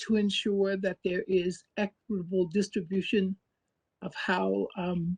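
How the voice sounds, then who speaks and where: Somewhat breathy and medium in pitch, a woman speaks at a fairly slow pace with fairly even intonation, the sound dry and close with no echo. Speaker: advisory board member. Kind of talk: formal introduction at public meeting. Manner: halting with many fillers.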